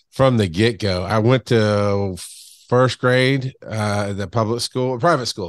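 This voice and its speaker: The speaker talks at a fairly slow pace in a Southern US accent. The intonation is lively. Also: man. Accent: Southern US (Georgia). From US South, south Georgia. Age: 40s. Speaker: podcast guest sharing weight loss story. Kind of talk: casual interview chat. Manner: loud, big personality.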